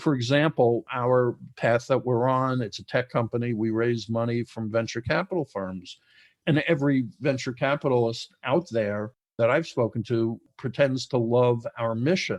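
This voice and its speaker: At a moderate pace and medium pitch, a man with a New York accent speaks with ordinary pitch variation, the sound dry and close with no echo against a quiet background. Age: 60s. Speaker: entrepreneur, formerly incarcerated. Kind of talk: interview conversation.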